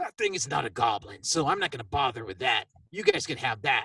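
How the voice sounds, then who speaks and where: In a put-on character voice, a man speaks at a fairly quick pace. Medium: actual play. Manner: lecturing, preachy.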